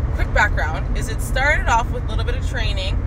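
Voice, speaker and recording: The speech moves at a fairly quick pace. Loud noise fills the background. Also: woman. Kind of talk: casual vlog chat. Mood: relaxed, friendly. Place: car. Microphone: phone near.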